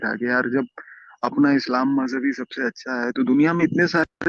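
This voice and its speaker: Using an ordinary speaking voice, a man talks at a moderate pace with lively intonation. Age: 20s. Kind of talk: testimony.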